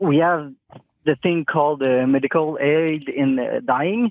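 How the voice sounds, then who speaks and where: A man speaks with a French Canadian accent. His pitch is fairly high and his pace moderate. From Quebec, Montreal. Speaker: nurse. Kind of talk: phone-in chat. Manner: halting, many fillers.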